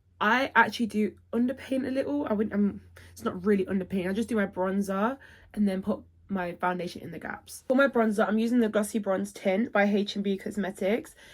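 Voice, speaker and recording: In a British accent, a woman speaks at a fairly quick pace, her voice somewhat breathy, medium in pitch, with ordinary pitch variation. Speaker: beauty vlogger. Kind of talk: makeup tutorial. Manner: chatty.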